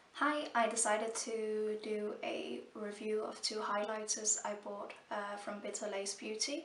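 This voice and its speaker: The speaker goes at a fairly slow pace with hardly any pauses and ordinary pitch variation, over noticeable background noise. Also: woman, fairly high pitch for a woman. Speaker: beauty vlogger. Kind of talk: product review. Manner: halting, many fillers.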